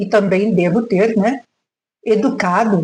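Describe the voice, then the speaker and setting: A woman talks in a dark, mellow tone at a medium pitch, her voice somewhat breathy. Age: 70s. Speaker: retired teacher. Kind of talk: reflective monologue vlog. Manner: halting, with frequent fillers.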